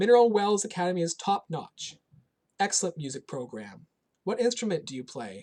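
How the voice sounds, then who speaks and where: A man's put-on character voice, high in pitch and resonant, fairly quick, with very wide pitch swings. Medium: read story. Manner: kind, warm.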